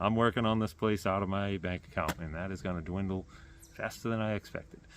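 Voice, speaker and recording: A man speaks at a moderate pace with an American accent and a fairly low pitch. The background is quiet. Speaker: YouTuber. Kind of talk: casual vlog talk to camera. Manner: rambling, hesitant with fillers.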